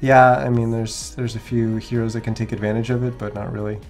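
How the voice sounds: Music plays behind a man who speaks at a moderate pace in a medium pitch.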